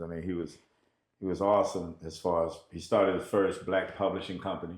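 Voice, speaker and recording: A man's very deep, low voice at a fairly quick pace, with ordinary pitch variation and audible room echo. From US South, Nashville, Tennessee. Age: 60s. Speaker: musician. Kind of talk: interview. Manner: halting, with many fillers.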